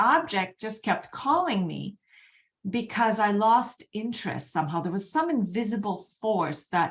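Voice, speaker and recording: At a moderate pace, a woman's fairly high, somewhat breathy voice moves through very wide pitch swings. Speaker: energy healing coach. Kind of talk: live webinar presentation. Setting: online video event.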